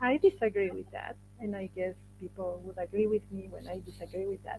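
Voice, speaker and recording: A woman speaks with a Spanish accent. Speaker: workshop moderator, English teacher. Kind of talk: workshop discussion.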